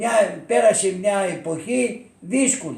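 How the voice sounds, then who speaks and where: With lively intonation and a high pitch, a man speaks at a very slow pace amid audible room echo and noticeable background noise. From Thessaly, Greece (Elassona area). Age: 80s+. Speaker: war witness. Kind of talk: oral history interview. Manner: halting, with many repetitions.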